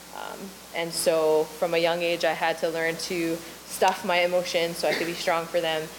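Against noticeable background noise, the speaker holds a moderate pace with monotone, flat intonation. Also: woman, fairly low pitch for a woman. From Maui, Hawaii. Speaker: ministry leader. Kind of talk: testimony.

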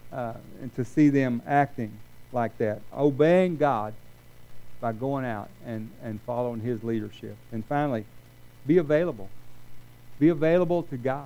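A man talks at a moderate pace with ordinary pitch variation. He leaves long, frequent pauses. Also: medium pitch for a man. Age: 60s. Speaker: retired college minister, guest preacher. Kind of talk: sermon. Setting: church service with congregation. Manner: hesitant, with many fillers and repeated words.

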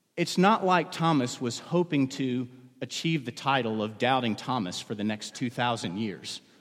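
A normal speaking voice, a man at medium pitch with lively intonation and a moderate pace. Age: 40s. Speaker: pastor. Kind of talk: sermon. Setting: church.

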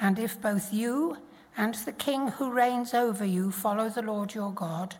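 Somewhat breathy and at a very slow pace, a woman speaks with a fairly high pitch and ordinary pitch variation. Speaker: Bible reader. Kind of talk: reading aloud. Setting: church.

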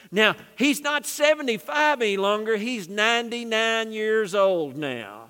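A man's raised, projected voice, high in pitch, bright and sharp in tone, with lively intonation at a very slow pace, in a very clean recording with a silent background. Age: 60s. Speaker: pastor. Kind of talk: sermon. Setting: church. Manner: animated.

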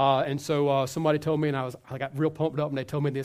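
A man's fairly high voice on a very clean recording with a silent background. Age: 40s. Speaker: pastor. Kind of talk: sermon. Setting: church.

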